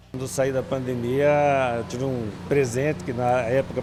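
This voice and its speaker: Noticeable background noise sits behind a man who talks at a moderate pace and a medium pitch. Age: 60s. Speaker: interviewee, gym member. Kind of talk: news interview.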